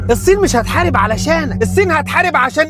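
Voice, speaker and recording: Music can be heard behind the voice. The speaker is a man. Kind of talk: satirical political commentary. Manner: sarcastic, street-style.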